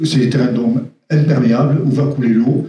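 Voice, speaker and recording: Audible room echo surrounds a man of medium pitch who speaks at a fairly quick pace with fairly even intonation. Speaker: caving speaker giving a talk. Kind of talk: question and answer; lecture. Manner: fast; hesitant, many fillers.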